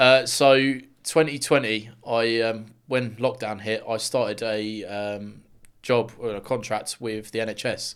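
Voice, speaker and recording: With a southern English accent, a man speaks at a fairly slow pace and fairly even intonation on a very clean recording with a silent background. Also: medium pitch for a man. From Luton, England. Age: 20s. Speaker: builder and men's mental health advocate. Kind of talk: interview testimony.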